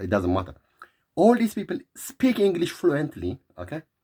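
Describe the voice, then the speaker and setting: A man with an Eritrean accent speaks in an animated tone, his pitch swinging very widely over a layer of vocal fry. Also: dry, close sound with no echo. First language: Tigrinya. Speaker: vlogger. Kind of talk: opinion monologue.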